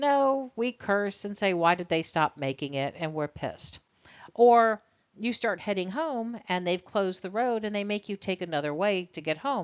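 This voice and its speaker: This woman has an ordinary speaking voice, medium in pitch. She talks at a moderate pace with lively intonation. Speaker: college instructor. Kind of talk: lecture.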